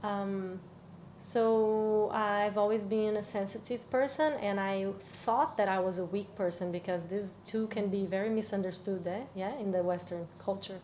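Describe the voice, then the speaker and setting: A woman with a Portuguese accent, medium pitch and a dark, mellow tone, at a fairly slow pace with fairly even intonation and audible room echo. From Brazil. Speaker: cacao ceremony facilitator. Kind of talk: podcast interview. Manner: halting.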